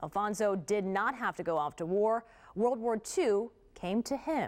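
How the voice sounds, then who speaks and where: The recording is very clean with a silent background, carrying an ordinary speaking voice. Delivery is fairly slow with lively intonation. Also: woman, medium pitch for a woman. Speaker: TV news anchor. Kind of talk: TV news introduction.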